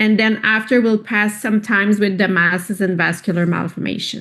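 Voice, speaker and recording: A woman's medium-pitched voice with a non-native accent and fairly even intonation. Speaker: pediatric radiologist. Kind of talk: lecture.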